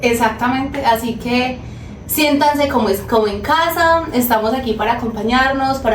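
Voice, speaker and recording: Through noticeable background noise and audible room echo, a woman speaks at a moderate pace with a high pitch and ordinary pitch variation. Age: 20s. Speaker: podcast co-host. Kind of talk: casual podcast conversation.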